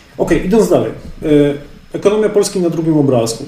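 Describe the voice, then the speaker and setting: Noticeable background noise and audible room echo surround a man speaking at a fairly quick pace with ordinary pitch variation. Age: 30s. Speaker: real estate analyst and podcaster. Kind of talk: webinar lecture.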